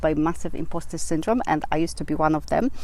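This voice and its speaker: Someone with a Polish accent talks at a fairly quick pace, with audible room echo and noticeable background noise. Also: woman. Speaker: business coach vlogger. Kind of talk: vlog advice talk. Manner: halting, many fillers.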